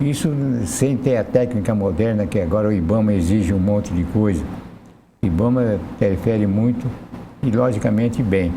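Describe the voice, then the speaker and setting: A man speaks with music in the background. The room echo is audible. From Brazil, interior of São Paulo state. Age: 80s+. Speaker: interview guest. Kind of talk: TV interview.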